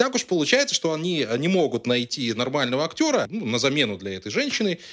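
An animated tone at a fairly quick pace, with very wide pitch swings. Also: man. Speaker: podcast co-host. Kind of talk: casual chat. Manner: loud.

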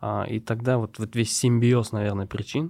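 A normal speaking voice at a moderate pace with fairly even intonation, in a very clean recording with a silent background. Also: man. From Tatarstan, Russia (Nurlat district village). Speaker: startup co-founder. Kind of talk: interview conversation.

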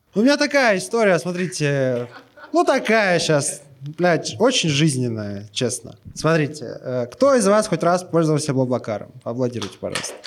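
Fairly high male voice at a moderate pace, with very wide pitch swings over noticeable background noise. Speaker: podcast host. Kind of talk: storytelling. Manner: animated.

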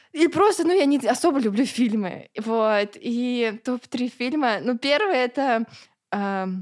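Speaking at a very slow pace, a woman uses lively intonation. Her pitch is high. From Russia, Ulyanovsk. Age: 20s. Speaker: blogger. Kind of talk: casual interview.

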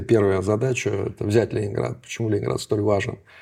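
The recording is very clean with a silent background. A man speaks at a fairly low pitch with a dark, mellow tone and vocal fry. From Leningrad, Russia. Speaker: historian, professor. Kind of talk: interview.

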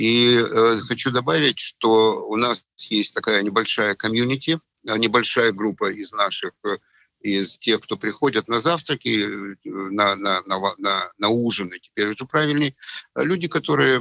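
Bright and sharp in tone, a man speaks at a medium pitch with ordinary pitch variation. His pace is fairly slow, and the sound is dry and close with no echo. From Ukraine, Odesa. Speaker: physicist, trader and finance educator. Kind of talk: casual interview. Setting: voice chat.

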